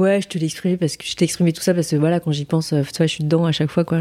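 In a fairly low pitch, a woman speaks with a dark, mellow tone. Her intonation is monotone and flat. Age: 40s. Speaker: adoptee sharing her story. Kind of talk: testimony. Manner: halting.

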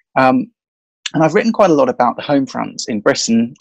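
A man speaks with a southern English accent. The sound is dry and close, with no echo. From London. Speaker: author and historian. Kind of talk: interview. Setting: bedroom at home, remote call.

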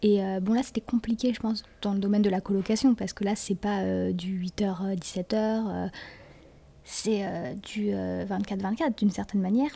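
This woman has a dark, mellow tone. Her pitch is medium. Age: 20s. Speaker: law student. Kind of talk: casual chat. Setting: public place, recorded at a table.

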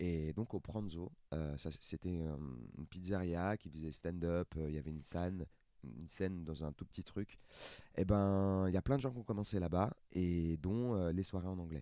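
Very deep and low, a man's voice has a dark, mellow tone. He keeps a moderate pace with ordinary pitch variation. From France, Seine-Saint-Denis (Paris suburbs). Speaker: stand-up comedian. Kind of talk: casual chat.

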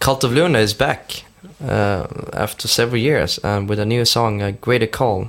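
A man speaks at a moderate pace in a Swedish accent, with ordinary pitch variation. Noticeable background noise sits behind him. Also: medium pitch for a man. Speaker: podcast host. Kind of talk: music chart presentation.

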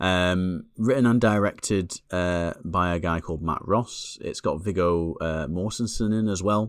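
The speech comes in a Lancashire accent at a fairly slow pace. The recording is very clean, with a silent background. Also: man. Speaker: podcast co-host, film reviewer. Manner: monotone, flat delivery.

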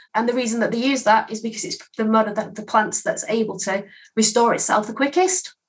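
A woman with an English accent talks at a fairly quick pace in a fairly high pitch. Her voice is somewhat breathy, with ordinary pitch variation. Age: 30s. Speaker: skincare consultant. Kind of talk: casual interview.

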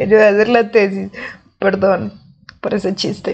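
A woman with a Colombian accent speaks at a medium pitch. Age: 20s. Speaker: podcast host. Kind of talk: casual monologue.

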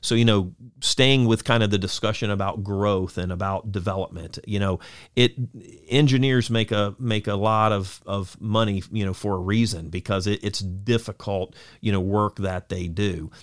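A man with an American accent speaks in a plain, everyday voice, his fairly low pitch carried at a moderate pace with fairly even intonation. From Central Florida (Lakeland and Auburndale). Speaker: city manager. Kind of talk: interview.

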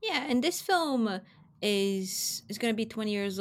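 A woman speaks at a medium pitch. She has a Portuguese accent. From Brazil. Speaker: film journalist. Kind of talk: casual chat.

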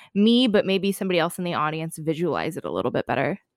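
The recording is very clean, with a silent background and a dry, close sound with no echo. A woman with an unremarkable speaking voice talks at a medium pitch with lively intonation. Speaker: podcast host. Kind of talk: casual interview.

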